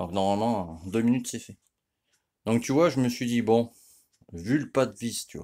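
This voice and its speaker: The tone is dark and mellow, with ordinary pitch variation and big swings in loudness. The pace is moderate, broken by long, frequent pauses. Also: man, medium pitch for a man. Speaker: moped mechanic youtuber. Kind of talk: tutorial. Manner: casual, filler-heavy.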